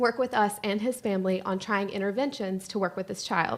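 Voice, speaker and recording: Her speech moves along at a fairly quick pace. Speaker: special education teacher. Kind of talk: presentation. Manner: fast.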